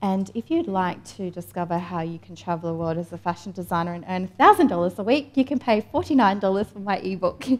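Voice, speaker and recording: A woman with an Australian accent speaks at medium pitch with ordinary pitch variation. The recording is very clean, with a silent background. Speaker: online entrepreneur, fashion designer. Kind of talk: conference presentation. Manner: casual, filler-heavy.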